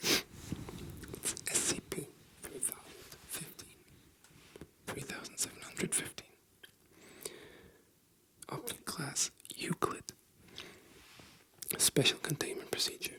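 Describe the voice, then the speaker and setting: Whispering at a very slow pace, a man pauses long and often, with big swings in loudness. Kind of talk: ASMR bedtime reading. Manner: soft-spoken.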